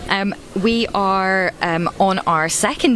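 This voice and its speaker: A woman speaks with a Scottish accent at a fairly low pitch. There is noticeable background noise. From Scotland. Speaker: choir director and webcast host. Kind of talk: live event commentary. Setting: live event webcast at a concert venue.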